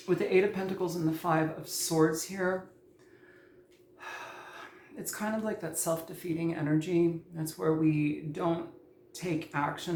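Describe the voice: The tone is slightly mellow, and the pace is fairly slow. There is little pitch movement.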